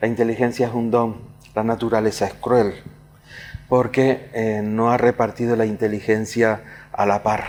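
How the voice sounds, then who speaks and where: A man's monotone, flat delivery unfolds at a fairly slow pace. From Canary Islands, Tenerife (La Laguna). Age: 70s. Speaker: writer and poet. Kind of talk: interview. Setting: casino hall. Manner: halting, many fillers and repetitions.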